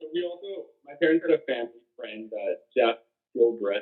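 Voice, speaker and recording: This man has an unremarkable speaking voice and a Canadian accent. He talks at a fairly quick pace with lively intonation. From Ontario, Hamilton. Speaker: birder. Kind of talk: interview.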